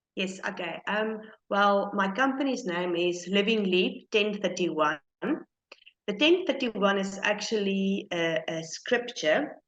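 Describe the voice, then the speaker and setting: With a non-native accent, a woman of medium pitch speaks at a very slow pace with ordinary pitch variation. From South Africa. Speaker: small business owner. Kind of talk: interview. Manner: halting.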